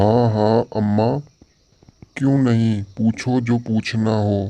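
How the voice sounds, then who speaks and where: In a cartoonish character voice of medium pitch, a man speaks at a very slow pace. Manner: gentle, respectful.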